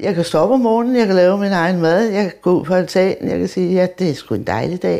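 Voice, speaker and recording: At a very fast pace and with hardly any pauses, a woman speaks in a medium pitch with a dark, mellow tone. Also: ordinary pitch variation. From Denmark, Copenhagen (Vesterbro). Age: 70s. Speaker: heart patient. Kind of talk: testimony.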